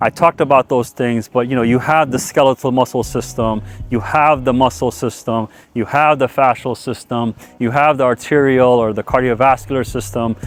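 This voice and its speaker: A man with a medium-pitched voice talks at a moderate pace with fairly even intonation while music plays in the background. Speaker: breathwork and running coach. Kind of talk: tutorial.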